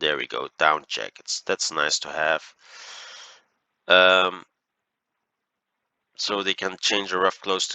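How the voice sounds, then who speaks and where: At a fairly slow pace, a man speaks with a Flemish accent. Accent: Flemish Dutch accent in English. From Belgium (Flanders). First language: Dutch. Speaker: gaming YouTuber. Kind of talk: gameplay commentary. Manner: hesitant, many fillers.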